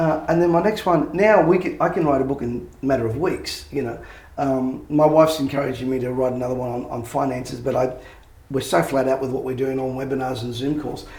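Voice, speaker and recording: Heard with audible room echo, a man with an Australian accent speaks at a fairly quick pace. His pitch is medium, with ordinary variation. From Australia, Sydney (Bankstown). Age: 60s. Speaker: motivational speaker and author. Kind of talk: interview. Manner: fast.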